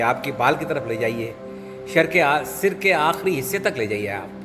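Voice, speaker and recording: A man with a fairly high pitch talks while music plays in the background. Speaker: yoga teacher. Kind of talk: guided relaxation.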